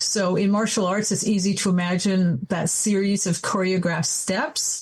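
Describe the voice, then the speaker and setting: At a moderate pace, a woman with a Canadian accent talks in a somewhat breathy, medium-pitched voice with ordinary pitch variation. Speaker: adult educator and coach. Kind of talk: podcast interview.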